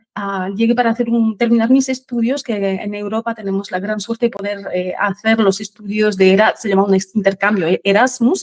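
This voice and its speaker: In a French accent, a woman at medium pitch speaks at a fairly quick pace with hardly any pauses, the sound dry and close with no echo. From France. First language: French (speaking Spanish). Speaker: finance expert, sales manager. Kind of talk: interview podcast.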